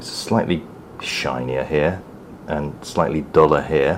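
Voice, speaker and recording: A man speaks over noticeable background noise. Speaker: toy reviewer. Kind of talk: product review while building a model kit. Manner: quiet while concentrating; bursts into excited loudness.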